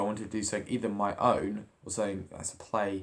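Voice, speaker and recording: This man talks at a very fast pace with a fairly low pitch. The recording is very clean, with a silent background. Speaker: drama student. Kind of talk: video journal.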